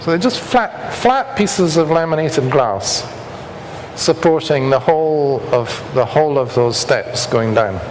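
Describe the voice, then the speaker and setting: With a Scottish accent and fairly high pitch, a man talks at a fairly slow pace with lively intonation and very even loudness, amid noticeable background noise and audible room echo. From Scotland. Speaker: structural engineer. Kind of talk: lecture.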